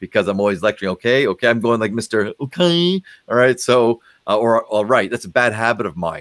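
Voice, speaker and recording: In a very clean recording with a silent background and a dry, close sound free of echo, a man of medium pitch talks very fast with lively intonation. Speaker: psychologist. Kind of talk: interview. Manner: animated.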